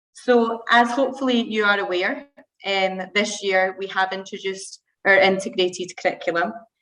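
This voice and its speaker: A woman talks with a Scottish accent. Her pitch varies in an ordinary way. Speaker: primary school teacher. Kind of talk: school presentation to parents. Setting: video call.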